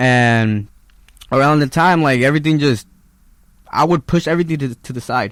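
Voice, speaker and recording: Pausing long and often, a man with a Spanish accent speaks with ordinary pitch variation. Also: fairly high pitch for a man, moderate pace. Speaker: musician. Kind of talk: casual interview.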